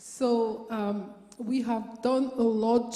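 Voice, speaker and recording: A woman speaks with a fairly high pitch and fairly even intonation. There is audible room echo and noticeable background noise. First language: French. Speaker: audience member asking a question. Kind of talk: audience question at panel event. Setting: lecture theatre with audience. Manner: halting.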